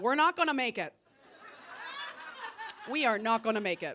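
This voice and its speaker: A woman talks with lively intonation at a fairly quick pace. Noticeable background noise is present. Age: 40s. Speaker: stand-up comedian. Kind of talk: stand-up comedy set to a live audience.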